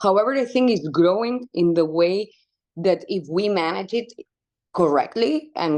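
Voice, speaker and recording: The background stays quiet. Against it, a woman talks with ordinary pitch variation. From Spain (Barcelona). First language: Spanish. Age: 30s. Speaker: wildlife conservation activist. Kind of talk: interview conversation.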